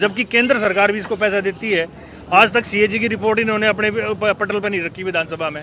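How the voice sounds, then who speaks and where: A man with a high pitch uses a raised, projected voice. His intonation is fairly even, with noticeable background noise behind him. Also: moderate pace. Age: 60s. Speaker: villager interviewed on the street. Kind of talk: street interview.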